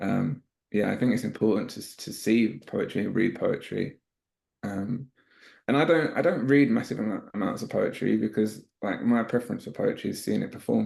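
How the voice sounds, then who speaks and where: A man speaks with a London accent. His pace is moderate. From East London. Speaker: spoken-word poet. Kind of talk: interview answer.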